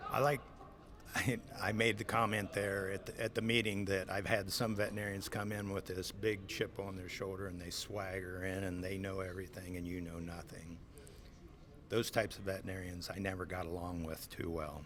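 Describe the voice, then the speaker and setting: A man with a Midwestern US accent, very deep and low in pitch, fairly quick in pace and fairly even in intonation, with audible room echo. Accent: US Midwest. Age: 60s. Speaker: swine farm manager. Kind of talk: interview. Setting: conference.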